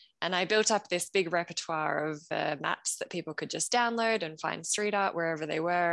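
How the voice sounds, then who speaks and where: A woman talks in an unremarkable speaking voice with fairly low pitch and ordinary pitch variation. The sound is dry and close, with no echo. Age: 30s. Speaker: street art fan and copywriter. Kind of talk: casual chat.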